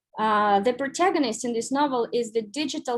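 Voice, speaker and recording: In a Russian accent, a woman with a high pitch speaks at a moderate pace on a very clean recording with a silent background. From Belarus, Minsk. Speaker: writer. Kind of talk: lecture.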